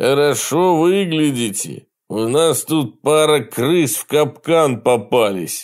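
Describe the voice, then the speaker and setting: A man's put-on character voice, fairly high in pitch, with lively intonation at a fairly slow pace. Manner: mocking, taunting.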